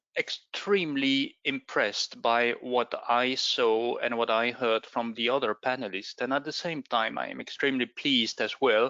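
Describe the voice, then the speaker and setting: Speaking fairly slowly with a non-native accent, a man shows ordinary pitch variation. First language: not English. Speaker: space agency official. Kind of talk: presentation.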